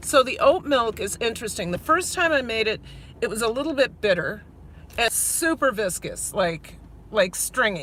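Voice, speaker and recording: A woman with a Minnesotan accent speaks at a fairly high pitch, her voice swinging very widely in pitch. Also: moderate pace. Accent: Minnesota. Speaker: vlogger. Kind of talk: live stream chat while driving. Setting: in a car. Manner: halting, many fillers.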